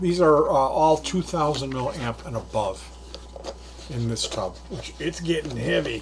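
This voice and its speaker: A man speaks against noticeable background noise. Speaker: DIY electronics hobbyist. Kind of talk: casual talk to camera. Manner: chatty, unhurried.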